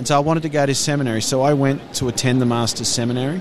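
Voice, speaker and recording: The speaker goes at a very fast pace with an Australian accent and ordinary pitch variation. Noticeable background noise runs underneath. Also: man. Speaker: ministry staff worker. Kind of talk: casual interview chat. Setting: conference booth.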